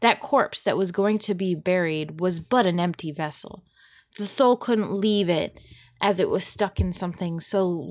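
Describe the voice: Simple, plain reading aloud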